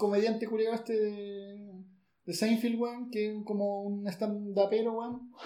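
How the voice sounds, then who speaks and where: This is a man with a high-pitched voice. His pace is fairly slow. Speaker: podcast host. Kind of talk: casual chat. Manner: animated.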